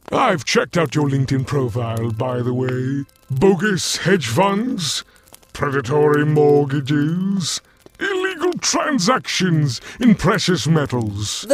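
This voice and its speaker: Putting on a character voice, a man speaks at a fairly slow pace with a fairly high pitch. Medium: audio drama. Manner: breezy, playful, smugly polite.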